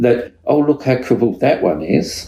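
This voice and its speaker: This man's voice sits at a medium pitch, with a dark, mellow tone. He is somewhat breathy and speaks at a moderate pace. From Australia. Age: 60s. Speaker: dog trainer and podcast co-host. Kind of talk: casual chat.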